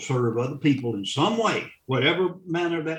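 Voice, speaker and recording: A man talks in a somewhat breathy voice with an American accent. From US South. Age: 70s. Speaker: funeral director and war veteran. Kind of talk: interview conversation. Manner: halting.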